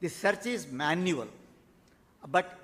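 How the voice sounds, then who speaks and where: His intonation moves in a lively way. The man's voice sits high. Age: 80s+. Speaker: keynote speaker, author. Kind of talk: keynote address. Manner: halting; formal.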